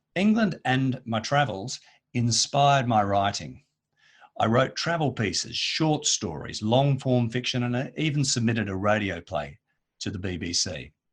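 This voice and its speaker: Over a quiet background, a man with an Australian accent speaks at a moderate pace and medium pitch, somewhat breathy, with lively intonation. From Australia, Perth. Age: 50s. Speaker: editor and copywriter. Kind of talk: conference presentation.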